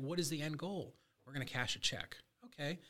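This man has an unremarkable speaking voice, pitched fairly high and delivered at a fairly quick pace. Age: 50s. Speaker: real estate wholesaler and coach. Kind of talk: casual interview chat. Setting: studio.

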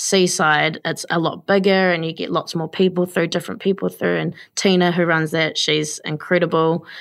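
The voice holds a flat, monotone delivery at a moderate pace with hardly any pauses, on a very clean recording with a silent background. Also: woman, fairly low pitch for a woman. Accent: New Zealand. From New Zealand, Taranaki (New Plymouth). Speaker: small business owner, baker. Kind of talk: casual interview.

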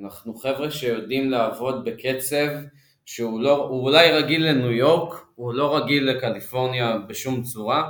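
In a room with audible echo, a man at a medium pitch speaks at a moderate pace with fairly even intonation. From Israel. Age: 30s. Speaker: cannabis beverage executive. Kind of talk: interview.

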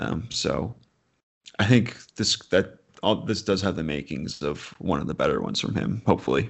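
A man with an American accent, fairly low-pitched with vocal fry, lively intonation and a moderate pace. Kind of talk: casual chat about upcoming films.

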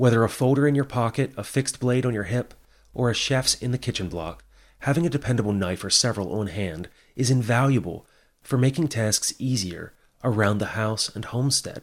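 Very clean recording, silent background, with a man using an ordinary speaking voice at medium pitch, a fairly quick pace and ordinary pitch variation. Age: 30s. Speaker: podcast host. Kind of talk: scripted narration.

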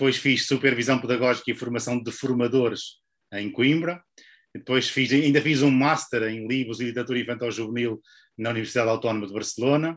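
A man's unremarkable speaking voice at a medium pitch, fairly quick, with fairly even intonation, against a quiet background. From northern Portugal. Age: 50s. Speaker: book publisher and author. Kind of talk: interview.

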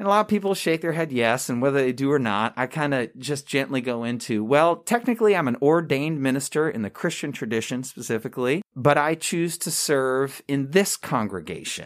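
In an American accent, a man with an unremarkable speaking voice talks at a fairly quick pace with hardly any pauses, fairly high in pitch and with lively intonation. The recording is very clean, the background silent. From Long Island, New York. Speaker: hospital chaplain. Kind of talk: casual interview.

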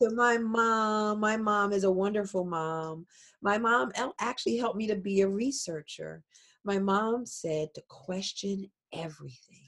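Recorded very cleanly against a silent background, a woman with an American accent has an ordinary speaking voice, ordinary pitch variation and a fairly slow pace. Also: medium pitch for a woman. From Philadelphia, US. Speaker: genealogist and technology consultant. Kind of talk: interview.

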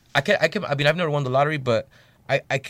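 A man speaks at a very fast pace with ordinary pitch variation, the sound dry and close with no echo. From Bell, California. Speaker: musician. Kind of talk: casual chat. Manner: animated.

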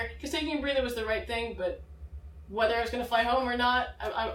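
Audible room echo accompanies a woman speaking in an American accent with ordinary pitch variation. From Massachusetts. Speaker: student pilot. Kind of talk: interview. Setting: outdoors at an air show venue.

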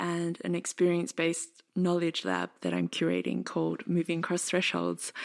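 A woman speaks with an Australian accent at a moderate pace. The recording is very clean, and the background is silent. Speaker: podcast host and dance artist. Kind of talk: casual chat; scripted narration.

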